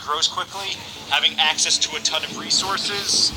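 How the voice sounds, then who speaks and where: A man's voice with music in the background. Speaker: gaming video creator. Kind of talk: gameplay commentary tutorial. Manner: halting, stuttering.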